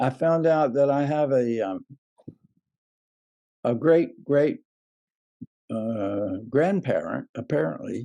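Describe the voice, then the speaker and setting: A man with a dark, mellow tone and an American accent speaks at a very slow pace, his pitch fairly high, his intonation lively and his pauses long and frequent. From US South, southern Alabama. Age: 80s+. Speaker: civil rights activist. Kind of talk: interview. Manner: halting.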